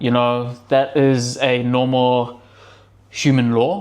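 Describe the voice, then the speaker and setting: A man with a New Zealand accent speaks at a medium pitch. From New Zealand, Auckland. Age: 30s. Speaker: self-improvement vlogger. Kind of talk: casual motivational talk to camera. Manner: casual, conversational with many fillers.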